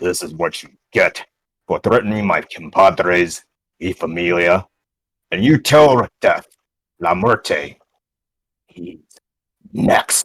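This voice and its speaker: In a put-on character voice, a man growls at a very deep, low pitch with a menacing tone, lively intonation, a fairly slow pace and long, frequent pauses. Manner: menacing, threatening.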